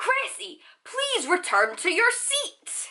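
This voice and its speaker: A woman's put-on character voice, extremely high in pitch, at a very slow pace. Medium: read story. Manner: formal, pedantic.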